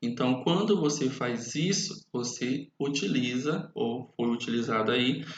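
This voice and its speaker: In audible room echo, a man with a fairly high pitch speaks at a very slow pace with ordinary pitch variation. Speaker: teacher. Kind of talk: lecture.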